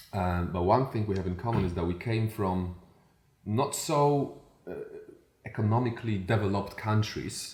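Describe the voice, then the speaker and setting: A man with a Polish accent speaks at a fairly low pitch and moderate pace, with ordinary pitch variation and long, frequent pauses, amid audible room echo and noticeable background noise. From Poland. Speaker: podcast host, coach. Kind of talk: casual interview chat.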